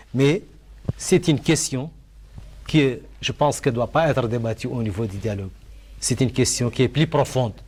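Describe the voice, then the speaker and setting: Pausing often and at length, a man with a medium-pitched voice and vocal fry speaks with ordinary pitch variation. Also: moderate pace. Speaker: panel debater. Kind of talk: televised debate.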